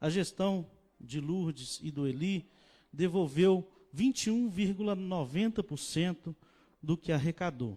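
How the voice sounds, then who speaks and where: On a very clean recording with a silent background, a man's high-pitched voice carries a dark, mellow tone and ordinary pitch variation. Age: 30s. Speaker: mayoral candidate, incumbent mayor. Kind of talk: political debate.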